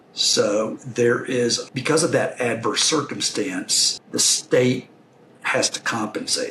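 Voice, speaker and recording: There is noticeable background noise. Through it, a man talks with a Texan accent. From Texas. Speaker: investor and franchise owner. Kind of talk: podcast interview.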